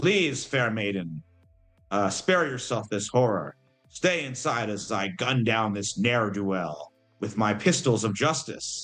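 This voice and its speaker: Putting on a character voice, a man speaks at a medium pitch with very wide pitch swings. He goes at a fairly slow pace over faint music in the background. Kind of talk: archaic, chivalrous. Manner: grand, pompous, heroic.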